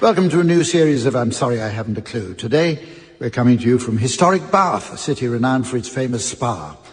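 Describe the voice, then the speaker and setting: Noticeable background noise runs under a man's voice. He speaks at a fairly quick pace with very wide pitch swings. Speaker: radio panel show chairman. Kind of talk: comedy panel show hosting. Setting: live theatre audience.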